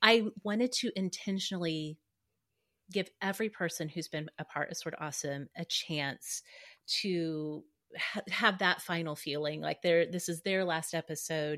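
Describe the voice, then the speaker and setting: A woman with an American accent has an unremarkable speaking voice, fairly low in pitch with ordinary pitch variation, at a moderate pace. The recording is very clean with a silent background and a dry, close sound with no echo. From Oklahoma, US. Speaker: podcaster and blogger. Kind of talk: casual chat.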